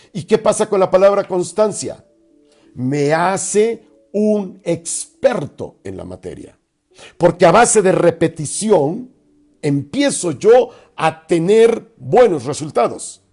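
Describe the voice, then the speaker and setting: Music plays behind a man speaking at a very slow pace and a high pitch. His intonation is lively and his loudness swings widely. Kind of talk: religious radio talk.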